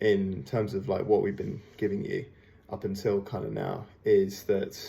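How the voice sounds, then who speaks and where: A man with a fairly low pitch and a dark, mellow tone talks at a fairly slow pace, somewhat breathy, with ordinary pitch variation. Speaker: fitness coach. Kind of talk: workout programming briefing. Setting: at home. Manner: low voice, quiet.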